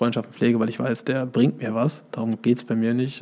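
A man's medium-pitched voice at a very fast pace with monotone, flat intonation. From Germany, Hesse (Marburg). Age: 30s. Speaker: boating school founder, former wakeboard champion. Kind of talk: casual interview.

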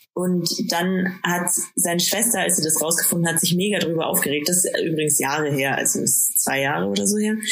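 Noticeable background noise and audible room echo surround a woman speaking at a fairly low pitch and moderate pace, her loudness very even. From Bavaria, Bad Aibling. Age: 20s. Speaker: podcast co-host. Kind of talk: casual chat. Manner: halting, many fillers.

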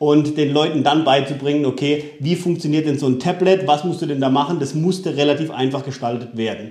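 Using a plain, everyday voice, a man talks at a fairly quick pace with a fairly high pitch. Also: hardly any pauses. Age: 30s. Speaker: solar company founder. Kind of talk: interview. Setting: at his company premises.

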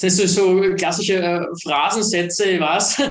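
His intonation fairly even, a man speaks in a high pitch. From Austria. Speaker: startup founder. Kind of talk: interview.

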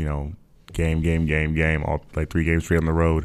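A man talks with a very deep, low pitch and an American accent. The recording is very clean, with a silent background. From US Midwest, Minnesota. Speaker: professional basketball player. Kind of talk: casual chat. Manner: laughs often.

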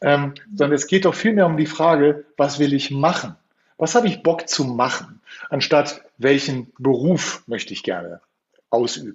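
Speaking in a plain, everyday voice, a man talks at a fairly slow pace. His pitch is fairly high, and his intonation is lively. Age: 50s. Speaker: youth coach. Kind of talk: interview.

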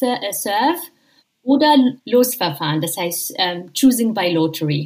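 Her pitch swings very widely, and her voice is somewhat breathy. The woman speaks with an Arabic accent. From Jordan. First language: Arabic (speaking German). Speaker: professor of Islamic theology. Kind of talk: interview. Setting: remote call from home in quarantine. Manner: halting, many fillers.

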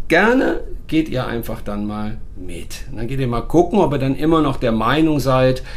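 A man keeps a moderate pace, and his voice carries an audible room echo. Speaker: dog trainer and podcast host. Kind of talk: casual chat. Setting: recorded on location in Portugal.

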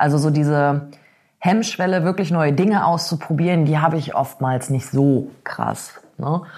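A woman's very deep, low-pitched voice at very even loudness. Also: ordinary pitch variation, fairly slow pace. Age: 30s. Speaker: blogger and freelance author. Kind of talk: casual interview.

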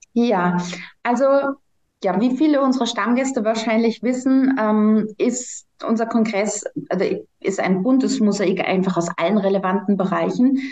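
Somewhat breathy, a woman speaks at a fairly slow pace with very even loudness. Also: fairly high pitch for a woman, ordinary pitch variation. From Germany. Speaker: congress organizer. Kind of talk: podcast interview.

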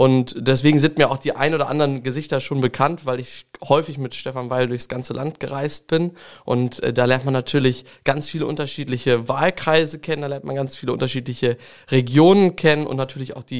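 This man talks at a fairly quick pace in a normal speaking voice. His pitch is medium and his intonation fairly even. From Lower Saxony, Langenhagen near Hanover. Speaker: state parliament member, politician. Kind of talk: interview.

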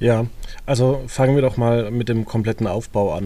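Fairly even intonation and a moderate pace mark a man's medium-pitched voice with a dark, mellow tone. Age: 30s. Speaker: podcast host. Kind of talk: casual chat.

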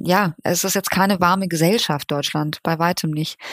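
Flat, monotone intonation from a woman pitched fairly low. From Germany. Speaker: journalist. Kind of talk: interview.

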